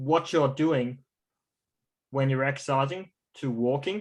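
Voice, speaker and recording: A man with an Australian accent speaks at a fairly slow pace. His pitch is fairly high, and his intonation fairly even. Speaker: stroke recovery coach. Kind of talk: online class.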